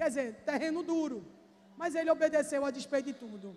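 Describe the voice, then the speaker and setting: The delivery comes at a fairly quick pace. The intonation is lively. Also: woman. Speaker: pastor. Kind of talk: sermon. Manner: animated.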